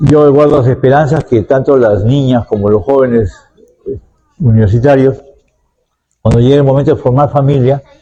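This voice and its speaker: Somewhat breathy and dark, mellow in tone, a man of medium pitch talks at a moderate pace with very even loudness and long, frequent pauses. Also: ordinary pitch variation. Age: 70s. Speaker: university professor interviewed as expert. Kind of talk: interview answers; closing remarks. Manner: hesitant, with fillers and repetitions.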